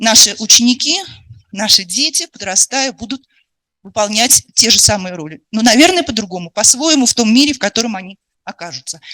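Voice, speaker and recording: In a dry, close recording with no echo, a woman talks at a fairly quick pace with a fairly high pitch, very wide pitch swings, and big changes in loudness. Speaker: education expert lecturer. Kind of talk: lecture. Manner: fast.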